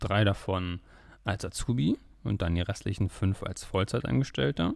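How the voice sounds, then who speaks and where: In a very clean recording with a silent background, a man talks with lively intonation and vocal fry. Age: 20s. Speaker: podcast host, trader. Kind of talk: podcast monologue.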